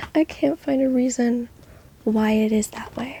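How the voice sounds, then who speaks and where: Soft-spoken and at a fairly slow pace, the voice comes through noticeable background noise. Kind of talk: ASMR soft-spoken ramble.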